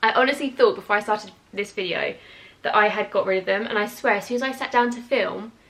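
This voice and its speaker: Against noticeable background noise, a woman speaks very fast at a fairly high pitch in a British accent with fairly even intonation. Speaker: YouTuber. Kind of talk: casual chat.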